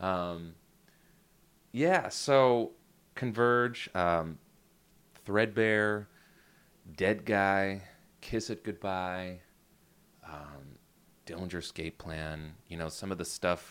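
A man speaks at a very slow pace with an American accent, leaving long, frequent pauses. His pitch varies in an ordinary way, and the recording is very clean with a silent background. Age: 30s. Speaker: rock musician and producer. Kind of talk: casual interview chat.

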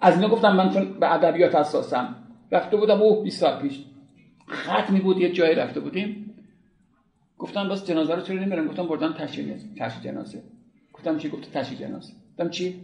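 Talking very fast yet pausing long and often, a man with a high voice is heard in a room with audible echo. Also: ordinary pitch variation. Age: 60s. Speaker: art history lecturer. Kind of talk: lecture.

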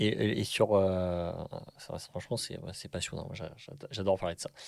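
A man speaks in a normal speaking voice at a fairly low pitch. His pace is moderate, and the recording is very clean with a silent background. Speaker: podcast host, actor. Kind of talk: casual interview chat.

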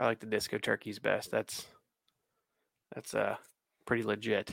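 Moderately paced male speech, the sound dry and close with no echo. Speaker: podcast co-host. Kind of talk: casual chat.

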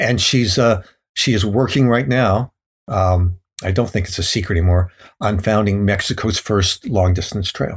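A man with an American accent speaks at a fairly low pitch and a moderate pace. His voice is somewhat breathy. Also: ordinary pitch variation. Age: 70s. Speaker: thru-hiker and author. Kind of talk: casual interview, storytelling.

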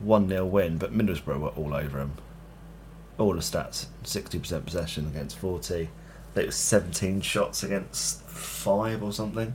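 Speaking with a British accent at a fairly slow pace, a man uses a very deep, low pitch with vocal fry and very wide pitch swings. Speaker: football podcast host. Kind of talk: casual chat.

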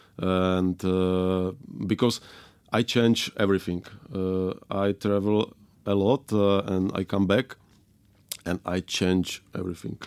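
In a very clean recording with a silent background, a man with a strong Czech accent speaks at a very slow pace in a very deep, low pitch, keeping his intonation fairly even and leaving long, frequent pauses. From Moravia, Czech Republic. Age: 30s. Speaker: winemaker. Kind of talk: casual interview chat. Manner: halting, hesitant with many fillers.

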